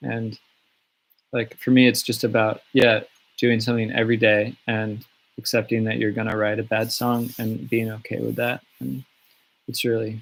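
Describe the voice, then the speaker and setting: A man at a moderate pace and medium pitch, flat and monotone, with long, frequent pauses. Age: 30s. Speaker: singer-songwriter. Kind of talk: live stream Q&A. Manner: casual, halting with fillers.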